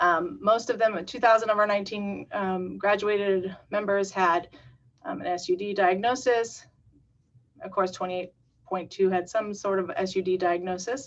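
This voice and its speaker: A woman talks at a moderate pace and medium pitch with ordinary pitch variation in a plain, everyday voice. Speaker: community paramedic program staff. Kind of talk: webinar presentation.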